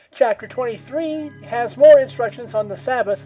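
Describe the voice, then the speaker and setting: A woman's pitch swings very widely as music plays behind her. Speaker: atheist Bible study host. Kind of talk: casual commentary narration. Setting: home microphone with poor audio quality.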